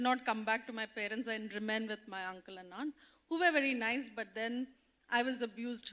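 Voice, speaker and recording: An Indian accent at a fairly quick pace with ordinary pitch variation. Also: woman. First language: Odia. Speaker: development sector leader, panelist. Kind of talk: personal testimony on panel. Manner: halting, many fillers.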